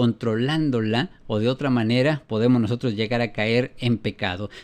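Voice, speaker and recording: Medium pitch from a man, with fairly even intonation. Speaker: preacher. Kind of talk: sermon. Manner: fast.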